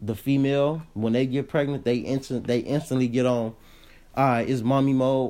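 The voice has a dark, mellow tone and fairly even intonation at a moderate pace. The recording is very clean, with a silent background. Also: man. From Chicago, West Side. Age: 20s. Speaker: podcast host. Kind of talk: casual interview.

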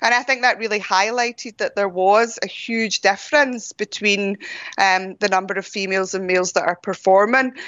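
Here a woman speaks in a Scottish accent at medium pitch. Her pace is moderate and her intonation fairly even. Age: 40s. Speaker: ultra runner and running coach. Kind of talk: interview.

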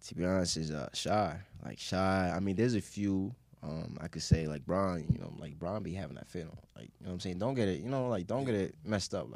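A man with an American accent and a very deep, low pitch speaks with lively intonation. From Queens, New York. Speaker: sports writer and filmmaker. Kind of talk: casual interview.

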